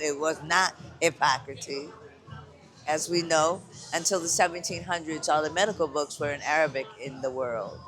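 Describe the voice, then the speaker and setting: Music in the background behind a man's fairly high voice, ordinary pitch variation and a moderate pace. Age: 70s. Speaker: hand healer and vendor. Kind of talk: casual chat.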